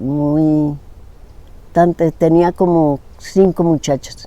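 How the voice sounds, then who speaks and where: A woman with a very deep, low pitch, a dark, mellow tone, fairly even intonation and a very slow pace. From Colombia, born in Cúcuta, raised in Bogotá. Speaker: interviewee, rural woman. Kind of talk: life-story interview.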